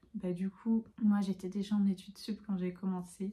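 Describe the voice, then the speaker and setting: This woman has a dark, mellow tone at medium pitch and is somewhat breathy. She talks at a moderate pace. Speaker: student vlogger. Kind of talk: casual vlog talk. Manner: hesitant, many fillers.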